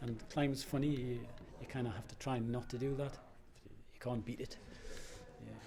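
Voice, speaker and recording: Speaking at a moderate pace with long, frequent pauses, a man with a medium-pitched, somewhat breathy voice and a dark, mellow tone keeps his intonation fairly even against audible room echo. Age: 60s. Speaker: rock climber. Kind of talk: interview.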